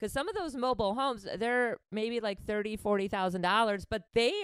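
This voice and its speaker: With an American accent, a woman uses an ordinary speaking voice, fairly high pitch and lively intonation at a fairly quick pace. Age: 40s. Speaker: podcast host. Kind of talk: casual chat.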